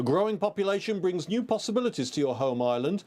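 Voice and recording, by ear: Someone reads the text aloud using a natural voice.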